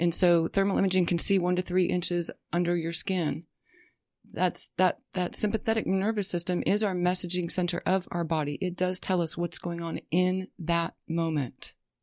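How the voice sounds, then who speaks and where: A woman speaks in a fairly low pitch with monotone, flat intonation. The sound is dry and close with no echo, over a quiet background. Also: moderate pace. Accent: American. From western US, military family. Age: 40s. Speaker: thermal imaging practitioner and massage therapist. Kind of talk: interview.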